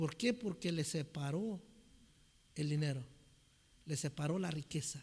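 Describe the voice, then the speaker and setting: A man talks at a fairly slow pace with long, frequent pauses and very even loudness. His pitch is fairly high, with ordinary variation. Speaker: preacher. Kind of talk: sermon.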